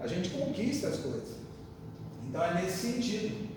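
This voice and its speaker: A man with a high pitch and ordinary pitch variation speaks amid noticeable background noise and audible room echo. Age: 60s. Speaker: spiritist lecturer. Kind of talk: lecture. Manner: casual conversational.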